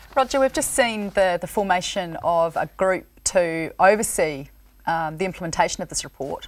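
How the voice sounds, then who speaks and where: A woman at a moderate pace, with lively intonation. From New Zealand. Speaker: rural current affairs TV presenter. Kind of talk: TV panel discussion hosting. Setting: TV studio. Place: studio. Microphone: lapel.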